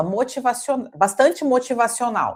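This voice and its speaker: A dark, mellow tone at a fairly slow pace. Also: woman. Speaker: coach and holistic therapist. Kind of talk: intimate interview conversation. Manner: halting, many repetitions and fillers.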